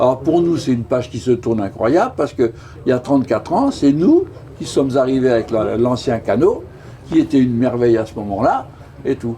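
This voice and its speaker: At a fairly quick pace, a man talks in a medium pitch with ordinary pitch variation over noticeable background noise. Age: 70s. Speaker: retired sea rescue volunteer. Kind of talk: interview.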